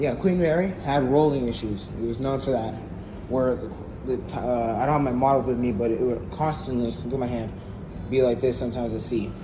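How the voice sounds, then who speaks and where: Mumbling at a fairly quick pace, a man is heard through audible room echo and noticeable background noise. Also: medium pitch for a man, ordinary pitch variation. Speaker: YouTuber, ship history channel. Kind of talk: casual vlog tour. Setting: on board a ship, walking tour.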